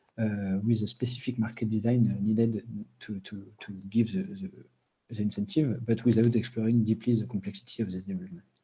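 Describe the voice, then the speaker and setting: Speaking very fast in a strong French accent, a man has a medium pitch, a dark, mellow tone, a somewhat breathy quality and ordinary pitch variation. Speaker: PhD researcher presenting at a conference. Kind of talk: conference presentation. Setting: online video conference. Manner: halting, many fillers and repetitions.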